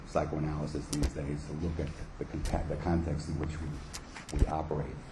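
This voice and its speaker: A man's very deep, low voice at a fairly quick pace, with audible room echo and noticeable background noise. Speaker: clinical psychologist and psychoanalyst. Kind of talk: conference talk read from paper. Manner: fast.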